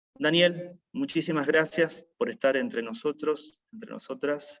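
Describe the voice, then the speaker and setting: A man's normal speaking voice, fairly high in pitch, with lively intonation, a fairly slow pace and hardly any pauses. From Argentina, Rosario (Santa Fe). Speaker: event moderator, chaplain. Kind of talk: formal introduction of a speaker.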